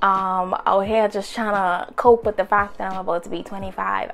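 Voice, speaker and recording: Music in the background behind a woman's medium-pitched, fairly quick voice with ordinary pitch variation. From Bahamas. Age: 20s. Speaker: lifestyle vlogger. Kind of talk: casual chat. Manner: animated.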